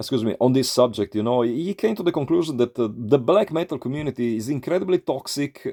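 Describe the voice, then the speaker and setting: In an Italian accent, a man talks at a moderate pace with a dark, mellow tone and lively intonation, the sound dry and close with no echo. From Italy. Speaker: YouTuber, metal vinyl collector. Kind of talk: casual vlog monologue. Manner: halting, many fillers.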